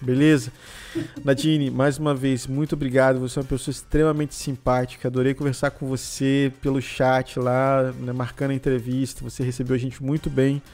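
A man at a fairly quick pace, monotone and flat in intonation, over noticeable background noise. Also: medium pitch for a man. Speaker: podcast host. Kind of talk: casual chat.

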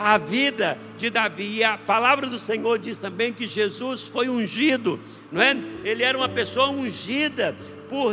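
Over noticeable background noise, a man with an extremely high pitch uses a raised, projected voice at a very slow pace with ordinary pitch variation. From Brazil, interior of Minas Gerais. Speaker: pastor. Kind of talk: sermon. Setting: livestreamed church service. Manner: halting, many fillers.

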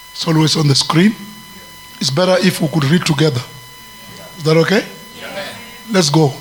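Music plays behind a man speaking at a fairly high pitch in an animated tone. He talks at a fairly quick pace, broken by long, frequent pauses. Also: ordinary pitch variation. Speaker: preacher. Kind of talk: fervent prayer with glossolalia, preaching over a call-and-response congregation. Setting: church with congregation. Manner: animated, exhorting.

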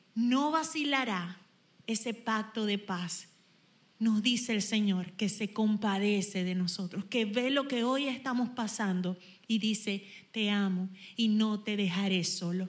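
This woman speaks at a fairly slow pace with a fairly high pitch and a somewhat breathy quality. Her pitch variation is ordinary. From Venezuela, Zulia (Machiques). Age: 40s. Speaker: worship leader. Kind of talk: worship exhortation.

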